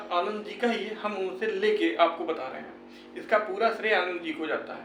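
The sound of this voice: With audible room echo, a man speaks at a high pitch in a fairly bright tone, at a moderate pace and with ordinary pitch variation.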